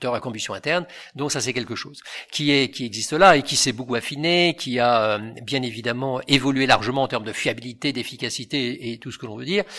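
A man speaks at a fairly quick pace in a medium pitch, his bright, sharp tone swinging widely in loudness with ordinary pitch variation, on a very clean recording with a silent background. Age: 60s. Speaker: retired engineer, mobility expert. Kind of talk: interview.

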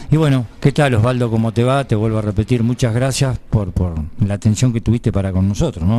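Fairly quick in pace, a man speaks with a fairly low pitch, ordinary pitch variation and a dark, mellow tone. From Buenos Aires province, Argentina. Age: 50s. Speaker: radio sports host. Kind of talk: radio interview.

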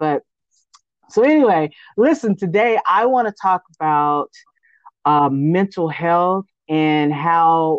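A woman with a plain, everyday voice and an American accent speaks at a fairly slow pace, her fairly low pitch showing ordinary variation, in a dry, close sound with no echo. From Austin, Texas. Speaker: podcast host. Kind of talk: interview.

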